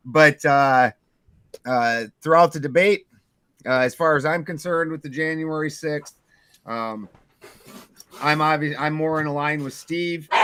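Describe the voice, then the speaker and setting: A man with a bright, sharp tone speaks at a fairly slow pace, his intonation fairly even and his pauses long and frequent. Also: fairly high pitch for a man. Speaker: debate show host. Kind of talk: casual chat. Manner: hesitant, many fillers.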